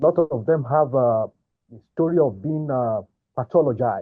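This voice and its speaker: At a fairly slow pace, a man with a strong Nigerian accent speaks with lively intonation. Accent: thick Nigerian. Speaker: migrant sharing mental health experience. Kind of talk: testimony.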